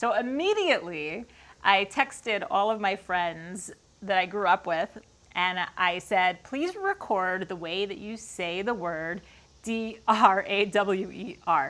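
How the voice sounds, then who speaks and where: In a Long Island accent, a woman talks at a very slow pace. Her pitch sits in the medium range. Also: ordinary pitch variation. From Long Island, New York. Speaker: woodworker. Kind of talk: casual Q&A talk to camera. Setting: garage workshop.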